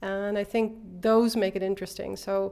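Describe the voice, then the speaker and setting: A woman speaks with a Dutch accent at a medium pitch. The recording is very clean, with a silent background. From Netherlands, Eindhoven. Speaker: artist and design teacher. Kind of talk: interview. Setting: exhibition space.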